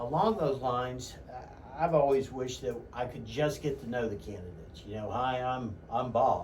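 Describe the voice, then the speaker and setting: The voice moves at a moderate pace with ordinary pitch variation, heard through noticeable background noise and audible room echo. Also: man. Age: 50s. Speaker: radio host and real estate agent. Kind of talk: radio interview. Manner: halting, many fillers.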